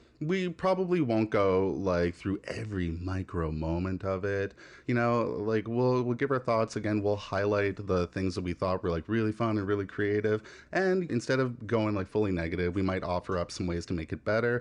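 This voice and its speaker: Against a quiet background, a man with a Maritime Canadian accent speaks at a fairly low pitch. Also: ordinary pitch variation, moderate pace. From Canada, Nova Scotia (Annapolis Valley). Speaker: podcast co-host. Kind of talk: casual chat. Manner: animated.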